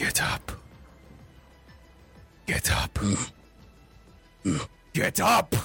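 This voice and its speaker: Whispering in a raspy, put-on character voice, a man speaks over faint background music. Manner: whispering, insistent.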